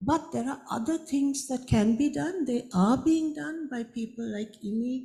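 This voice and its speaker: A woman's dark, mellow voice carries vocal fry and lively intonation. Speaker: conservation scientist. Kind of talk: panel discussion. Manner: halting.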